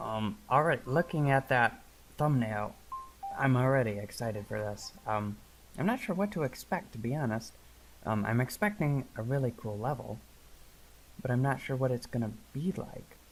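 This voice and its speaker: Long, frequent pauses break up the speech while music plays in the background. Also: moderate pace. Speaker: gaming YouTuber. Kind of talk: let's play commentary.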